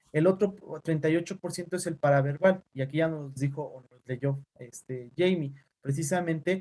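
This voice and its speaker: A man's somewhat breathy voice has a dark, mellow tone and fairly even intonation. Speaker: teacher and physician. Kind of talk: online class lecture. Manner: fast; neutral tone.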